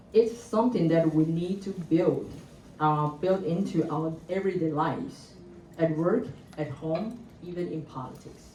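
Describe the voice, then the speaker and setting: A woman with a Chinese accent speaks at a fairly slow pace and a fairly low pitch, somewhat breathy, with ordinary pitch variation and audible room echo. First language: Mandarin Chinese. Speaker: government gender equality researcher, panelist. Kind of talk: conference presentation, partly read from notes. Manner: halting, with frequent fillers.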